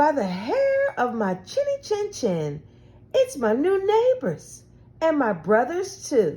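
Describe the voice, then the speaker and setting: In a put-on character voice, a woman talks slowly-ish at a fairly slow pace and a high pitch. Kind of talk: bedtime story. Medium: read story. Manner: friendly, folksy.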